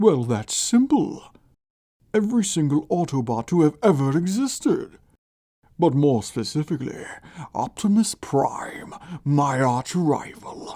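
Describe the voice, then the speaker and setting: Using a put-on character voice at a middle pitch, the speaker goes at a fairly slow pace with long, frequent pauses. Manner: menacing, short-tempered.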